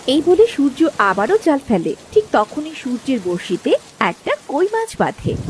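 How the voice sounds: A woman speaks with a high pitch. Her pitch swings a lot, and her pace is moderate.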